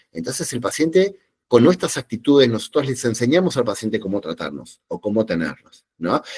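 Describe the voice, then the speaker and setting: Recorded with a dry, close sound and no echo, a man talks fairly quickly with very wide pitch swings. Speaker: psychologist giving a talk. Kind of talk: lecture. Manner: animated, with many fillers.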